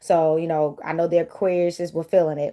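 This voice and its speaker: On a very clean recording with a silent background, a woman with an American accent speaks at a very fast pace, her fairly low pitch paired with a dark, mellow tone. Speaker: tarot reader. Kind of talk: casual tarot reading vlog. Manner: animated.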